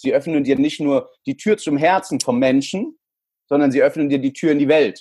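A man speaks at a moderate pace with a fairly high pitch and ordinary pitch variation. His loudness stays very even. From El Salvador and Frankfurt, Germany. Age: 30s. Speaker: sales trainer. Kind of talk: interview.

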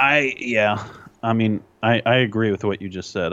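Speaking at a moderate pace, a man uses a normal speaking voice with fairly low pitch. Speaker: podcast co-host. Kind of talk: casual chat. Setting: remote recording.

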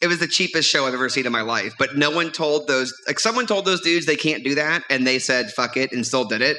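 A man speaks at a fairly quick pace with very even loudness. There is noticeable background noise. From US South (New Orleans area). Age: 40s. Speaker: stand-up comedian and comedy club runner. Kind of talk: casual chat. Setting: stage with audience. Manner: animated.

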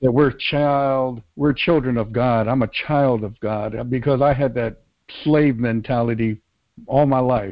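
Delivery is at a fairly slow pace. Intonation is fairly even. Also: man, medium pitch for a man. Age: 60s. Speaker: minister joining a worship show. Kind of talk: prayer; casual chat. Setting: online call. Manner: halting.

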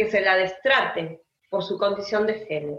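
Her intonation lively, a woman speaks very slowly. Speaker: writer and teacher. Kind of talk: interview conversation.

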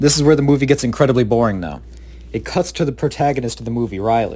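A man's medium-pitched voice with vocal fry, very fast pace and ordinary pitch variation. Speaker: student movie reviewer. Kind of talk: casual review. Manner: casual, filler-heavy.

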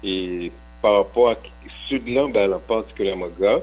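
The man speaks with a very deep, low pitch. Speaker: economist and professor. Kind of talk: radio interview.

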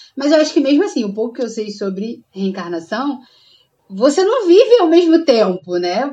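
A woman's voice, high in pitch. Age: 20s. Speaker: podcast co-host. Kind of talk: casual chat.

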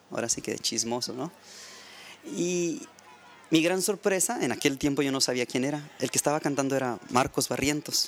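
A man is speaking with lively intonation. He keeps a moderate pace. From Mexico, Baja California (Ensenada). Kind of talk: interview conversation. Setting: studio.

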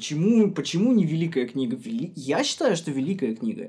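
A man's fairly high voice with very wide pitch swings, a dark, mellow tone and a fairly quick pace. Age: 20s. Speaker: podcast co-host. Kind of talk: casual chat. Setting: remote call. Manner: animated.

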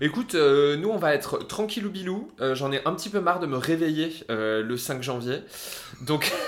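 An animated man's voice, fairly high in pitch, at a moderate pace over noticeable background noise. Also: lively intonation. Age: 30s. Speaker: podcast co-host. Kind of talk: casual chat.

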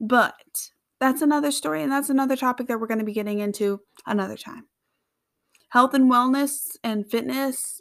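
In a very clean recording with a silent background, a woman with a high pitch speaks at a moderate pace, with ordinary pitch variation and big swings in loudness. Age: 20s. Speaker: podcast host, college student. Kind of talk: podcast intro monologue. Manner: casual, chatty.

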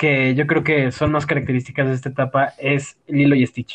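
Somewhat breathy, a man with a Mexican accent speaks at a fairly high pitch. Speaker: podcast co-host. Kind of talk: casual chat. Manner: animated.

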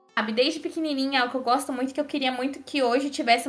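A woman speaks at a very fast pace in a high pitch. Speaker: podcast host and news site writer. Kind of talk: casual chat.

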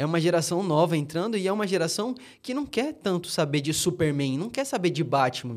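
The pitch of this man's voice is high. He talks fairly quickly. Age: 20s. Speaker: podcast co-host. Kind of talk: casual chat.

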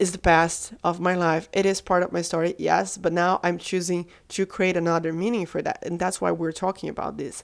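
The speech runs at a fairly quick pace with hardly any pauses, marked by vocal fry and a monotone, flat intonation. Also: woman, very clean recording, silent background. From Brazil. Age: 30s. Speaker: podcast host. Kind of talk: motivational monologue. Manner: loud.

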